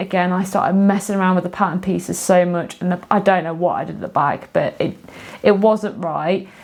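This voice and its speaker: A woman with an English accent, medium in pitch, flat and monotone, at a fairly quick pace over noticeable background noise. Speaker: sewing and knitting vlogger. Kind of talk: casual video monologue. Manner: fast; hesitant, many fillers.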